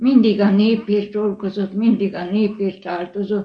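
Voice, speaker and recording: A woman speaks at a very slow pace in a somewhat breathy voice. Her medium pitch stays monotone, with flat intonation. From Hungary, Bács-Kiskun county. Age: 80s+. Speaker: church cantor. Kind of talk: interview.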